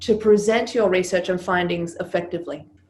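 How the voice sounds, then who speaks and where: A woman speaks with vocal fry, and audible room echo surrounds her voice. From Serbia. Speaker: business coach and former stage performer. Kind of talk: interview.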